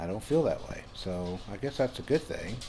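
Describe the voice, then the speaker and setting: A man talks in a relaxed, dark, mellow tone. His pace is fairly slow. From Louisiana. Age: 60s. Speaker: YouTuber guiding relaxing art. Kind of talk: casual narrated tutorial. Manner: relaxed, with many fillers.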